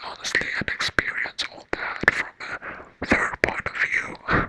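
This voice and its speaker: A woman's whisper comes at a fairly slow pace, with noticeable noise in the background. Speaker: ASMR artist and book reviewer. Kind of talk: casual rambling review to camera. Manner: whispered, soft, rambling.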